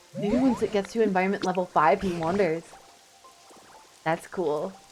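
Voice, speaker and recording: With music in the background, a woman speaks at medium pitch and a moderate pace, using ordinary pitch variation. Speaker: vtuber streamer. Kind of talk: live gaming stream chat.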